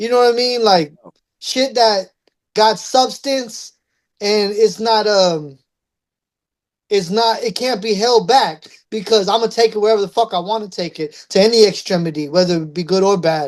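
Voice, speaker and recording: A woman speaks in an ordinary speaking voice with ordinary pitch variation. Her pace is moderate, and the background is quiet. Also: fairly high pitch for a woman. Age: 30s. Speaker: rapper. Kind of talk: interview. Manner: casual, streetwise slang.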